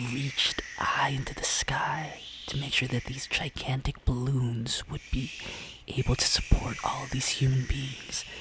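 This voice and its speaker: A man whispers in a calm tone. Noticeable background noise sits behind him. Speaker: travel vlogger. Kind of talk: ASMR travel story narration. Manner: soft-spoken, calm.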